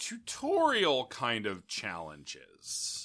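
Raised and projected, a man's bright, sharp voice carries an American accent over a very clean recording with a silent background. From Indiana. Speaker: podcast host. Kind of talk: casual chat.

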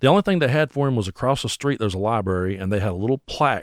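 A man with an Appalachian accent, fairly low in pitch, with lively intonation, in a dry, close sound with no echo on a very clean recording with a silent background. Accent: Appalachian Southern US. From US South, Bell County, Kentucky. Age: 40s. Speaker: singer-songwriter and internet radio host. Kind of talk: casual chat.

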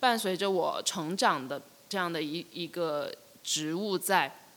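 Her pitch moves in an ordinary way. The woman talks very slowly. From Shenzhen, China. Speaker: artist. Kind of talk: casual interview chat. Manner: halting, with many fillers.

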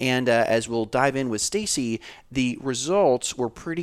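On a very clean recording with a silent background, a man with a normal speaking voice talks at a moderate pace and medium pitch, his pitch varying in an ordinary way. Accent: American. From Florida. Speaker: podcast co-host. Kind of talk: casual chat and interview.

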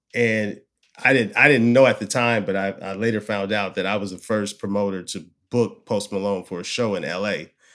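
In an American accent, a man with a plain, everyday voice and fairly low pitch talks at a moderate pace on a very clean recording with a silent background. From US West Coast, Oakland, Bay Area. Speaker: music talent buyer. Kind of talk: casual interview. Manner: relaxed, many fillers and repeats.

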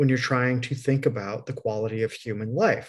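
In an American accent, a man speaks with a somewhat breathy voice. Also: quiet background. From US Midwest. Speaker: podcast host. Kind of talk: casual interview chat.

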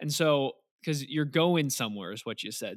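On a very clean recording with a silent background, the speaker uses an ordinary speaking voice and ordinary pitch variation. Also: man. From suburbs of St. Louis, Missouri. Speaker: farmer and podcast host. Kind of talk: scripted narration; interview.

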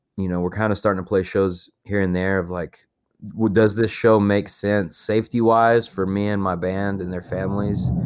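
On a very clean recording with a silent background, a man with a Texan accent speaks at a moderate pace, his fairly low voice keeping fairly even intonation. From Texas (Paducah, rural West Texas). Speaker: musician. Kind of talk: interview. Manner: casual, filler-heavy.

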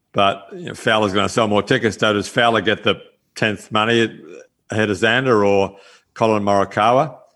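A man with a fairly low pitch and an Australian accent, fairly even intonation and a fairly quick pace, set against a quiet background. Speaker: golf course architect and former touring pro. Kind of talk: casual chat. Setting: video call.

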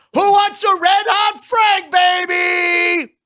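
Someone shouts in a put-on character voice with a New York accent. The pitch is extremely high and the pace very slow. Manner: loud yelling sales call.

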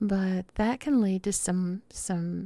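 A woman with a Southern US accent speaks at a very slow pace, her medium-pitched voice carrying a warm, dark, mellow tone. The recording is very clean, with a silent background and a dry, close sound without echo. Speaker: podcast host. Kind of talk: casual solo podcast monologue. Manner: informal, chatty, warm.

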